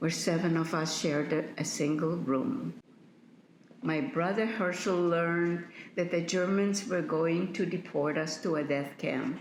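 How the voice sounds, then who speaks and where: A woman speaks at a fairly slow pace in a fairly low pitch with ordinary variation and very even loudness. Noticeable background noise and audible room echo are present. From Poland. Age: 80s+. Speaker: Holocaust survivor. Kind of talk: testimony.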